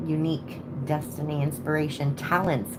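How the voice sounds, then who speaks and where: Noticeable background noise and audible room echo surround a woman whose pitch is very deep and low. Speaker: tarot reader. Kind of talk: live stream reading. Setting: home at night. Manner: casual.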